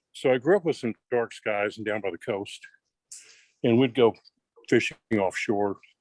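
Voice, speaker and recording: A medium-pitched man with an American accent, moderate pace and ordinary pitch variation, long, frequent pauses, dry, close sound with no echo. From South Texas. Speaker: astronomy club member. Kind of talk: meeting discussion.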